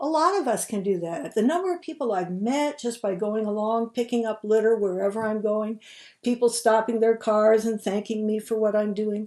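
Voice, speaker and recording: Speaking at a moderate pace with an American accent, a woman has a fairly high pitch and a dark, mellow tone. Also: ordinary pitch variation. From US Midwest. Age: 70s. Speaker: founder of a volunteer conservation group. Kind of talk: video monologue presentation.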